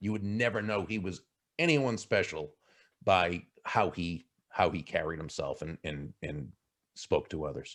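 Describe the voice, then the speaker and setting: In a Boston accent, a man speaks fairly slowly with a fairly low pitch and lively intonation. He takes long, frequent pauses, on a very clean recording with a silent background. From Boston area. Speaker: keynote speaker and author. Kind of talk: interview answer. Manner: animated storytelling.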